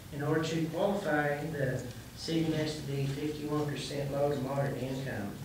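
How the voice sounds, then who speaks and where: A man speaks at a moderate pace in a flat monotone, with strong room echo and noticeable background noise. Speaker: grant administrator presenting to council. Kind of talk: public hearing presentation. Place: hall. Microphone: podium.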